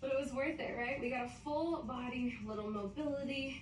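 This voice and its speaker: At a moderate pace, a woman with a high pitch speaks amid audible room echo. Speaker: fitness coach. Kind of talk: workout instruction. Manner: energetic, encouraging.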